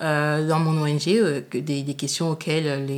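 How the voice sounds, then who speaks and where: Her pitch is very deep and low. The woman speaks at a moderate pace. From Paris suburbs, France. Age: 30s. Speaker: law student and NGO communications officer. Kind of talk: interview. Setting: at home. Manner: hesitant, many fillers.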